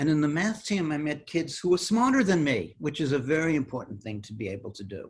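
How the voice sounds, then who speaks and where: A man with an American accent talks very fast with hardly any pauses and very wide pitch swings. His voice is somewhat breathy, and its loudness swings a lot. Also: fairly high pitch for a man. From New York City, the Bronx. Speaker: mathematician. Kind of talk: interview.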